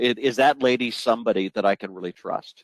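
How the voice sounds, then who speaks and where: Over a quiet background, a man speaks at a medium pitch with lively intonation in a dry, close sound with no echo. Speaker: sales trainer and speaker. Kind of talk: webinar presentation. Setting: audio-only webinar. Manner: fast; animated.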